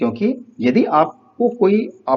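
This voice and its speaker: A man is speaking. His pitch swings very widely. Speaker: teacher. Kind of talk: lecture.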